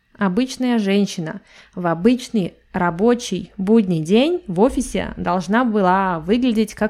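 Her pace very slow and her pitch varying in an ordinary way, a female speaker is heard on a very clean recording with a silent background. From Russia. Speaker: language teacher podcaster. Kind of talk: podcast monologue for learners. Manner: clear, measured for learners.

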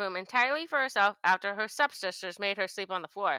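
Bright and sharp in tone, a woman talks at a very fast pace with lively intonation in a dry, close sound with no echo. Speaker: co-host. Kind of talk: casual chat.

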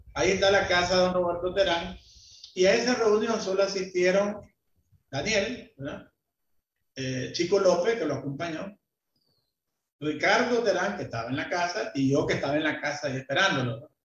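There is audible room echo as a man with a high-pitched voice talks at a moderate pace, using lively intonation and long, frequent pauses. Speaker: business association leader. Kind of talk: interview. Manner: halting.

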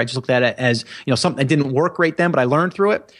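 A man with an unremarkable speaking voice talks at a medium pitch with ordinary pitch variation on a very clean recording with a silent background. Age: 40s. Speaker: podcast host and e-commerce entrepreneur. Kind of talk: interview. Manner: many filler words.

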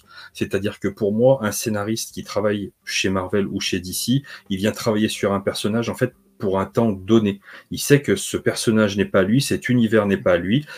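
A man with an ordinary speaking voice at a moderate pace, showing ordinary pitch variation, on a very clean recording with a silent background. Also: fairly low pitch for a man. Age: 40s. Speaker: comics video creator. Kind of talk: casual chat.

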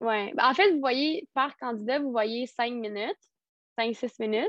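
A woman with a high voice talks at a moderate pace, her pitch varying in an ordinary way. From Quebec, Rimouski. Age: 20s. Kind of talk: casual interview. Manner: hesitant, many fillers.

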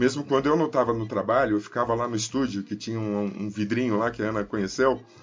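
A man talks at a very fast pace with hardly any pauses. His medium-pitched voice keeps fairly even intonation. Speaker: cinematographer. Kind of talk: casual chat.

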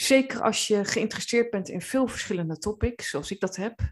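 This woman talks at a fairly high pitch with ordinary pitch variation. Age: 30s. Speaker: coach and therapist. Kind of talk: podcast monologue. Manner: hesitant, many filler words.

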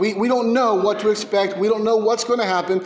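Amid noticeable background noise and audible room echo, a man talks at a high pitch. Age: 30s. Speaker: pastor. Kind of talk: sermon. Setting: church.

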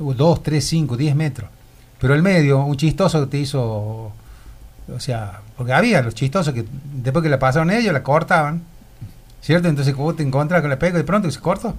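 This man speaks at a moderate pace in a somewhat breathy, fairly high voice with lively intonation. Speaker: former cinema owner, shopkeeper. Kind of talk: radio interview, reminiscing. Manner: halting, repetitive.

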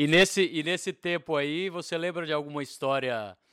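In a very clean recording with a silent background, a man with a plain, everyday voice speaks at a moderate pace with a fairly high pitch and lively intonation, the sound dry and close with no echo. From Brazil, Belo Horizonte. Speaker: podcast host, film director. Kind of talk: casual interview.

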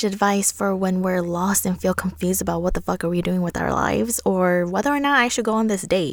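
A woman's calm tone at a fairly quick pace. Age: 20s. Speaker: podcast host. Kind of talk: personal monologue.

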